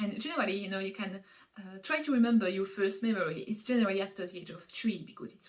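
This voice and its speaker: A woman with a medium pitch races along at a very fast pace, her pitch varying in an ordinary way amid noticeable background noise. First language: not English. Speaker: Montessori educator, parenting vlogger. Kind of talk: educational explainer. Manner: hesitant, many filler sounds.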